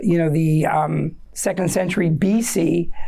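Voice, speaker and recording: Speech from a woman, backed by noticeable noise and an audible echo in the room. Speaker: wine educator, speaker at forum. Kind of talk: informal presentation to audience. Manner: hesitant, many fillers and repetitions.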